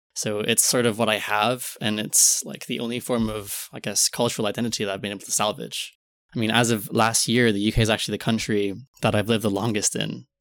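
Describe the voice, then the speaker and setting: In a very clean recording with a silent background, a man with an American accent talks very fast in a fairly low, flat monotone with vocal fry. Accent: American-sounding English. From Philippines, raised abroad as third culture kid. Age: 20s. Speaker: podcast guest. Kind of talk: casual chat.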